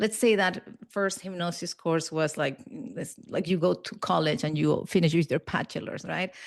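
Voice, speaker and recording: A woman with a Spanish accent speaks at a fairly slow pace and a fairly low pitch. Vocal fry is present, over a quiet background. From Peru, raised in Barcelona, Spain. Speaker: hypnotherapist and NLP trainer. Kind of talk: interview conversation.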